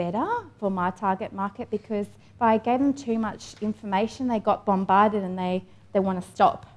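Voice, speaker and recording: A woman with an Australian accent speaks at a moderate pace in a medium pitch, with noticeable background noise behind her. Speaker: online entrepreneur, fashion designer. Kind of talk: conference presentation. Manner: casual, filler-heavy.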